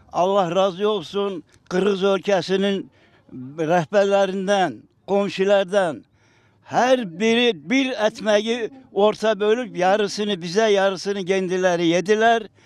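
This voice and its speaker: Speaking at a very slow pace, a man keeps his intonation fairly even and his loudness very even. His pitch is high for a man. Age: 80s+. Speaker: deportation survivor. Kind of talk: interview testimony.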